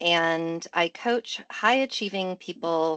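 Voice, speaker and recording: A woman with an American accent speaks at a very slow pace, her fairly low pitch showing ordinary variation against a quiet background. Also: dry, close sound with no echo. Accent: American, unchanged. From US Midwest, Michigan. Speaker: professor and coach. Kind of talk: interview. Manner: conversational, many fillers.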